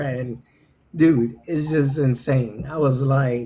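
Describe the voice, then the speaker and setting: A man with a fairly high pitch and a somewhat breathy voice speaks at a very slow pace. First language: not English. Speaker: crypto content creator. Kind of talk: casual interview. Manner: animated.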